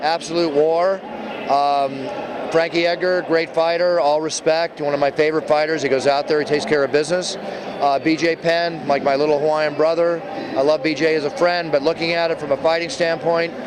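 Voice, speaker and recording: Over noticeable background noise, a man talks at a moderate pace with a fairly high voice. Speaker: ring announcer. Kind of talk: interview answer.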